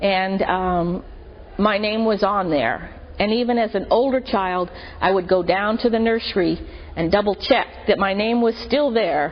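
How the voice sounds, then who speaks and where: In an American accent, a woman with an unremarkable speaking voice talks at a moderate pace and medium pitch. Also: ordinary pitch variation. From Marin County, California. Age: 50s. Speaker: church member. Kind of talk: testimony.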